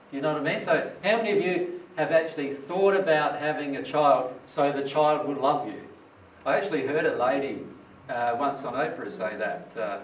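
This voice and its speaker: Light background noise accompanies a man's voice. The room adds audible echo. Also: moderate pace. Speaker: presenter. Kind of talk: lecture. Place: hall.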